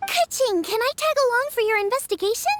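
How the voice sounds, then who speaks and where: A put-on character voice, squeaky and extremely high-pitched, at a very fast pace. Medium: video game. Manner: energetic, eager.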